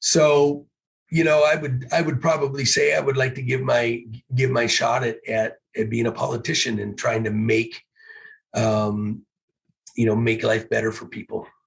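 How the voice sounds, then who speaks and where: A man with an American accent, a medium pitch and a somewhat breathy sound. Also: ordinary pitch variation, moderate pace. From US Pacific Northwest. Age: 60s. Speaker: teacher and football coach. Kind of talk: interview conversation. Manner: hesitant, many fillers.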